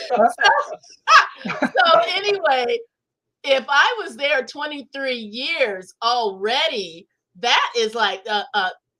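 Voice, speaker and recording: Raised and projected, a woman's high, bright, sharp voice moves very slowly through very wide pitch swings. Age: 60s. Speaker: author and former member of a religious community. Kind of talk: interview conversation.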